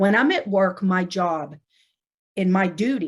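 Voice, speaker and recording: On a very clean recording with a silent background, a woman with an American accent speaks somewhat breathily at a medium pitch and a moderate pace. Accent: Pittsburgh accent, others say so. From Pittsburgh, US. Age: 40s. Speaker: nurse anesthetist and educator. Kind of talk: casual interview. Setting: podcast recording.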